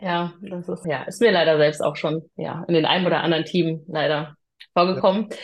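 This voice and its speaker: A woman uses a normal speaking voice. Her pitch is fairly low and her intonation fairly even. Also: moderate pace. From southwestern Germany (Freiburg im Breisgau). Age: 30s. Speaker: private security professional. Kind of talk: interview.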